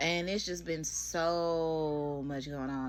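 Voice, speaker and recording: A woman speaks at a fairly slow pace with a very deep, low pitch. Audible room echo surrounds her voice. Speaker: beauty vlogger. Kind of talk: voiceover commentary. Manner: animated.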